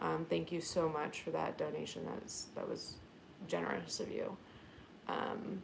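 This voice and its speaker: A woman speaks at a moderate pace, leaving long, frequent pauses. Audible room echo is present. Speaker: YouTuber and podcast host. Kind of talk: casual live-stream chat. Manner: rambling with tangents.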